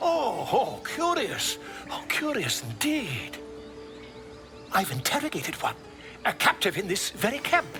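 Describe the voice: A man puts on a character voice, high-pitched, bright and sharp, with very wide pitch swings. He talks at a fairly slow pace as faint music plays in the background.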